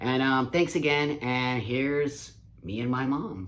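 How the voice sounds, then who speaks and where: Noticeable background noise accompanies a man who speaks at a medium pitch and a fairly slow pace. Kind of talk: casual talk to camera.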